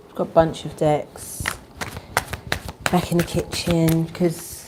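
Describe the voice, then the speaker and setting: A quiet woman's voice, fairly low in pitch, at a fairly slow pace with monotone, flat intonation, over noticeable background noise. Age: 40s. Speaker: spiritual tarot reader. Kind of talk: live stream casual chat with prayer. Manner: quiet, talking low.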